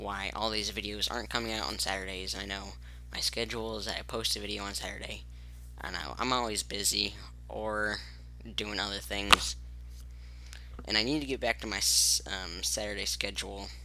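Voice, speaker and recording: A man speaks at a very deep, low pitch with vocal fry and a bright, sharp tone. His pace is moderate, broken by long, frequent pauses. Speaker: gaming youtuber. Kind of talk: gameplay commentary. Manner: quiet, soft-spoken; casual, halting with fillers.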